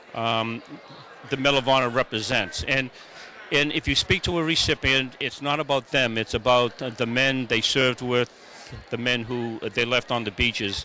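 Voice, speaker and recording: A man with an American accent talks at a moderate pace, his intonation fairly even. Noticeable background noise runs under the recording. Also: medium pitch for a man. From Massachusetts. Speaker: event organizer and veteran. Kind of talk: interview. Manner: halting, many fillers and repeats.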